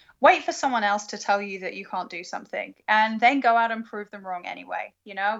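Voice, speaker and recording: A woman with a British accent speaks at a fairly high pitch. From UK. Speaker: planetary science graduate student. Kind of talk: interview.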